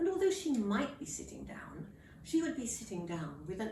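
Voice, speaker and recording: A woman is speaking. The room echo is audible. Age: 80s+. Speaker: elderly vlogger. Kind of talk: casual vlog talk.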